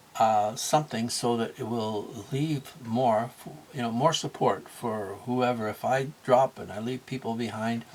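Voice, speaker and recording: Over noticeable background noise, a man with a medium pitch speaks at a fairly slow pace. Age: 60s. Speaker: motivational vlogger and small business owner. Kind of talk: casual monologue. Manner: halting, with many fillers and restarts.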